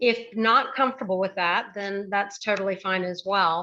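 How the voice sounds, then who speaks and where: Here a woman speaks at a moderate pace in a bright, sharp tone with ordinary pitch variation. The background is quiet. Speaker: educator and speaker. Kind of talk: presentation to audience. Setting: video call. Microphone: close to the computer.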